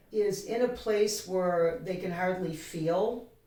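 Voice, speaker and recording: A woman at a medium pitch, very slow pace and fairly even intonation, with audible room echo. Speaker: co-host of a self-help video show. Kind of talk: casual chat. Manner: quiet.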